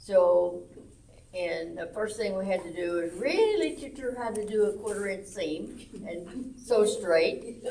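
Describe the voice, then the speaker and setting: A woman with a Southern US accent speaks loud and at a fairly slow pace, her medium pitch varying in an ordinary way, amid noticeable background noise and audible room echo. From Arkansas, US South. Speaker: senior center quilting group lead. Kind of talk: casual chat. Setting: senior center.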